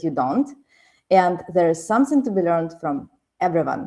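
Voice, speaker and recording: In a Ukrainian accent, a dark, mellow voice speaks at a moderate pace against a quiet background. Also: woman. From Ukraine. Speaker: podcast host. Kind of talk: show intro and sponsor reads.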